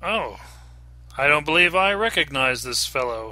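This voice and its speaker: A man puts on a character voice. His pitch is fairly high and his pace moderate. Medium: read story. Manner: polite, mild.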